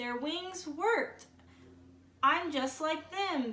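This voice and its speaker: Using a put-on character voice, a woman speaks very slowly in an extremely high, squeaky pitch. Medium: read story.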